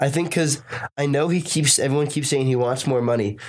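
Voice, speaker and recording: With an American accent, a man talks in an ordinary speaking voice at a medium pitch with ordinary pitch variation. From Boston, US. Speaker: sports commentator. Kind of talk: casual chat.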